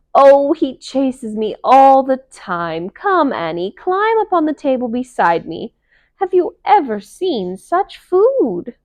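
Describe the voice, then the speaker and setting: In a squeaky, put-on character voice, a woman projects loudly at a high pitch with very wide pitch swings and a fairly slow pace. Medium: read story. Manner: grand, excitable.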